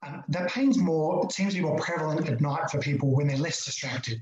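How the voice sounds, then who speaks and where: Someone with an Australian accent talks at a fairly quick pace over noticeable background noise. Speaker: chiropractor. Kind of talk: online talk. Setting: video call. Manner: fast.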